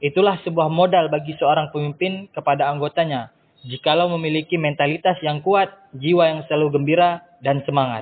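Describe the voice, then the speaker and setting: This man speaks at a fairly quick pace. His pitch is fairly high and his intonation fairly even. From Indonesia. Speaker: university student. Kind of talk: podcast interview. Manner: hesitant, many filler sounds.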